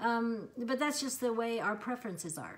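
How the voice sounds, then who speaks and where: A woman at a moderate pace. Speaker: lifestyle vlogger. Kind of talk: casual talk to camera. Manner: hesitant, many ums.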